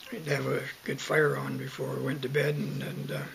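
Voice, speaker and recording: A man with a western Canadian accent speaks at a fairly slow pace over light background noise. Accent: western Canadian rural. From Southern Alberta, Canada. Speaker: oral history interviewee; interviewee. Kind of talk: oral history interview. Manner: halting, many fillers. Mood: calm reminiscing. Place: home room. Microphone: webcam.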